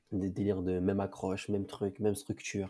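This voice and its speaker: The very clean recording has a silent background behind a man with a fairly low pitch. He speaks at a moderate pace in a dark, mellow tone. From French provinces. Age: 20s. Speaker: growth marketer and former student entrepreneur. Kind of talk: interview. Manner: casual.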